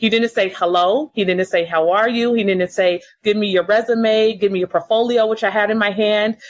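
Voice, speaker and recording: A woman with an American accent speaks in an unremarkable speaking voice at medium pitch and a moderate pace. Her intonation is fairly even, her loudness very even, and there are hardly any pauses. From Los Angeles. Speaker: communications and marketing executive. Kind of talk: interview.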